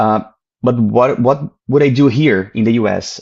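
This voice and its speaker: A man talks with a Brazilian accent. His pitch varies in an ordinary way. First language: Portuguese. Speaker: comic creator. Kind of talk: interview.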